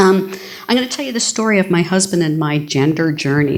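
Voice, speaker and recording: Lively intonation at a moderate pace, with noticeable background noise. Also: woman. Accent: American. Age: 50s. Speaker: keynote speaker, advocacy group regional director. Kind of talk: keynote talk. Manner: animated.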